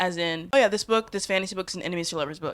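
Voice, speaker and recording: Her tone is animated, as a woman speaks at a medium pitch with ordinary pitch variation. Background noise is noticeable. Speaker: book video creator. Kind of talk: casual vlog commentary. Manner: fast.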